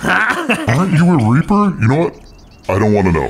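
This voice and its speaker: Through clear background noise, a man puts on a character voice with a fairly high pitch. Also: moderate pace. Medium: machinima. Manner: sarcastic, wary.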